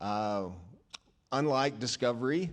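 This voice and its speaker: A man at a medium pitch talks at a very slow pace. His intonation is lively. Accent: American. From US South, rural Arkansas. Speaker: church member sharing testimony. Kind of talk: testimony. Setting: church. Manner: halting.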